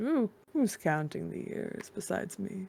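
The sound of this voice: A woman's put-on character voice at medium pitch, with big pitch swings, a slightly mellow tone, a slightly husky edge, vocal fry and a fairly slow pace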